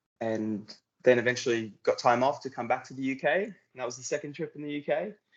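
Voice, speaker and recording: At a fairly quick pace, a man speaks with an Australian accent. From Queensland, Australia. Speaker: euphonium soloist, air force musician. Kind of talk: casual interview.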